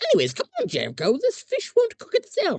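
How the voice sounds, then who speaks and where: This put-on character voice is squeaky and extremely high-pitched. It moves at a fairly quick pace. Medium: read story.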